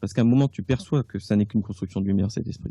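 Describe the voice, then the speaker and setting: A man's dark, mellow, somewhat breathy voice holds a medium pitch with ordinary variation, recorded dry and close with no echo. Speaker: author and clairvoyant. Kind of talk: radio interview. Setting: radio studio. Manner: casual, hesitant with fillers.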